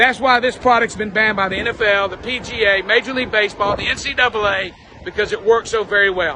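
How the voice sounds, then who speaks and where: At a very fast pace, a man with an American accent speaks at a high pitch over noticeable background noise. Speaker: supplement salesman. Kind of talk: promotional pitch to camera. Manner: upbeat, fast, salesy.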